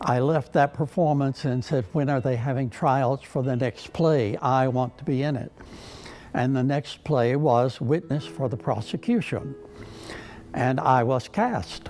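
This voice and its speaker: With music in the background, a man speaks at a fairly slow pace and medium pitch, his pitch varying in an ordinary way. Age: 80s+. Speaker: retired teacher and stage actor. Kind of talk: interview answer.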